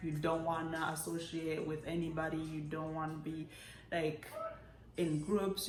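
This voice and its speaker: A woman talks at a moderate pace over background music, with audible echo in the room. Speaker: YouTube vlogger. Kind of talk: casual vlog monologue. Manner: casual, many fillers and restarts.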